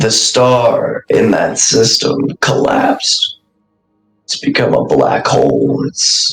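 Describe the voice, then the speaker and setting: A put-on character voice moves at a very slow pace while faint music plays in the background. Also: man. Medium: actual play. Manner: laid-back, sly.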